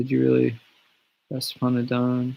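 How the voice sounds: A man speaks quietly at a medium pitch, his voice gravelly with vocal fry. His pace is fairly slow.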